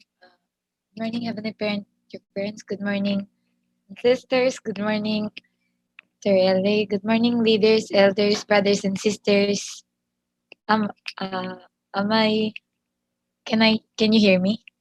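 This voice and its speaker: A woman speaks at a fairly slow pace, somewhat breathy and fairly high-pitched. Her intonation is monotone and flat, the sound dry and close with no echo. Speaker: church member sharing testimony. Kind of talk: testimony. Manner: halting.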